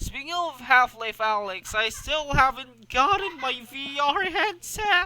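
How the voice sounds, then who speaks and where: Over noticeable background noise, a man uses a raised, projected voice at an extremely high pitch, with lively intonation and a fairly slow pace that has hardly any pauses. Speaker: gaming streamer. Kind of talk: casual solo podcast stream. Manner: halting, many fillers and repetitions.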